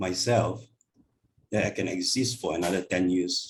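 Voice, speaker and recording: Somewhat breathy speech proceeds at a moderate pace. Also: man. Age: 60s. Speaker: Buddhist teacher. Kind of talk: Dharma class talk. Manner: hesitant, many fillers.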